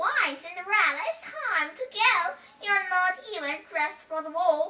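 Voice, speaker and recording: In a put-on character voice, a woman speaks at an extremely high pitch. Her voice is raised and projected, with ordinary pitch variation and a moderate pace. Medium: read story. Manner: bossy, sneering.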